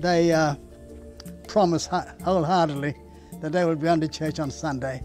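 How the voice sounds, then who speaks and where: A man with an Australian accent, high pitch and ordinary pitch variation at a moderate pace, faint music in the background. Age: 80s+. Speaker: retired Pentecostal pastor. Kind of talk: personal testimony interview. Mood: reflective, earnest storytelling. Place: garden. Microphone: lapel.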